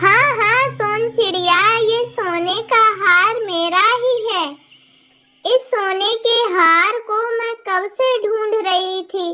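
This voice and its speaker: In a cartoonish character voice, a female-sounding speaker talks at a very slow pace with an extremely high pitch. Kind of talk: children's cartoon character voices.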